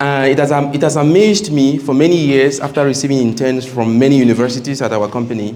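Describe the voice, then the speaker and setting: At a moderate pace, the speech comes with audible room echo and noticeable background noise. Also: man. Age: 30s. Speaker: engineering company owner and guest speaker. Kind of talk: seminar talk to students.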